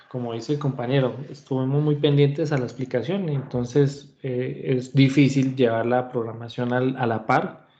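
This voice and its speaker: A man with a dark, mellow tone speaks at a moderate pace, hardly pausing at all. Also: medium pitch for a man, fairly even intonation. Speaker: university lecturer. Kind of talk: online class lecture. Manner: hesitant fillers.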